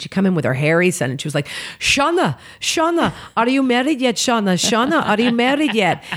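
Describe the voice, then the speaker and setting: An animated woman at a fairly quick pace with very wide pitch swings, on a very clean recording with a silent background. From Oklahoma City, US. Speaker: comedian. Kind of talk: casual chat.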